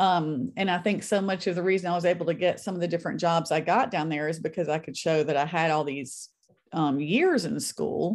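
A Southern US accent at a fairly quick pace, with ordinary pitch variation and a quiet background. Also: woman, fairly low pitch for a woman. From US South, North Mississippi. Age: 50s. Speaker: author. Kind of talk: interview.

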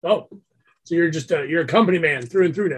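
In a raspy put-on character voice, a man talks very fast at a high pitch with ordinary pitch variation. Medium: actual play. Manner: smooth, chatty.

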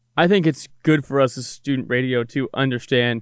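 Using a plain, everyday voice, a man talks fairly high in pitch, his pitch varying in an ordinary way. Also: very clean recording, silent background. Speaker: sports director and broadcaster. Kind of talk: casual podcast chat.

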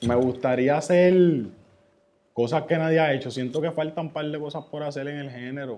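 A man speaks in a normal speaking voice at a fairly high pitch. His pace is moderate and his intonation fairly even. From Puerto Rico, Ceiba. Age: 20s. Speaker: rapper. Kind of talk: casual interview.

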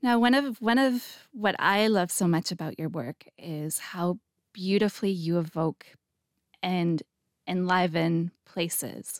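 Speaking with a Canadian accent, a woman has an unremarkable speaking voice at a medium pitch, with lively intonation and a fairly slow pace. The sound is dry and close with no echo, on a very clean recording with a silent background. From Canada. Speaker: podcast host. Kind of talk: interview.

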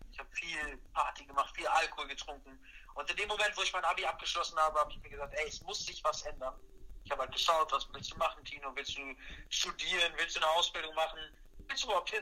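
This man speaks extremely quickly. His volume rises and falls dramatically. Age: 20s. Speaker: personal trainer and mental coach. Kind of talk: casual chat. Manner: energetic. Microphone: poor audio quality.

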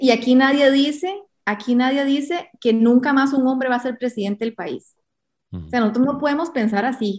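A high-pitched woman's voice with ordinary pitch variation and a fairly quick pace. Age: 30s. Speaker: presidential candidate. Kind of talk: interview.

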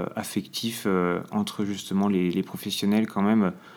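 Speaking at a very slow pace, a man keeps his fairly low voice in a fairly even intonation. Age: 20s. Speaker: trainee special educator. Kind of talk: interview testimony. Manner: hesitant, many fillers.

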